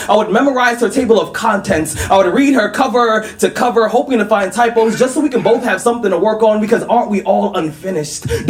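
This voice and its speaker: Noticeable background noise sits behind a man who speaks at a fairly quick pace with a high pitch and lively intonation. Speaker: spoken word poet. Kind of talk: live spoken word poetry performance.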